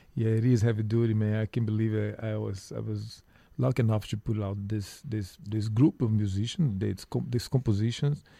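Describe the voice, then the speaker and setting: In a Portuguese accent, a man with a dark, mellow tone speaks at a fairly low pitch with fairly even intonation on a very clean recording with a silent background. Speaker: musician. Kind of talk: radio interview.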